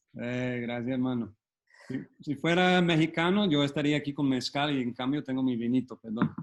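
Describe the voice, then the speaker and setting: With a Colombian accent, a man speaks at a medium pitch and moderate pace, using ordinary pitch variation. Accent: Colombian-sounding Spanish. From United States. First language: English (speaking Spanish). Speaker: photographer and photobook editor. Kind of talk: online talk.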